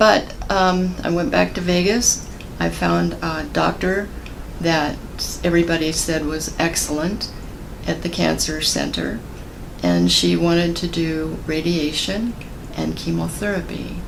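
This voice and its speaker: Fairly slow speech from a woman, with audible room echo and noticeable background noise. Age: 70s. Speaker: cancer survivor. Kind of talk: testimony. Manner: halting.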